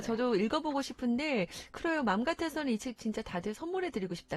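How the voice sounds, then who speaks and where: A woman speaks with very wide pitch swings. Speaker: radio host. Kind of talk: radio talk show hosting.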